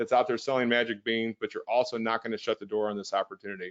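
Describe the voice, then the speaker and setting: Words pour out of a man at a very fast pace. He has an American accent. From US Midwest (St. Louis, Missouri). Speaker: real estate investor and trainer. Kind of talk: webinar sales pitch. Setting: online webinar. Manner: energetic, persuasive.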